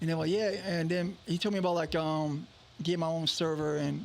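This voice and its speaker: A man's voice holds very even loudness. Audible room echo fills the recording. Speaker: entrepreneur and radio station owner. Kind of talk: interview, telling his story. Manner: casual, halting with repetitions.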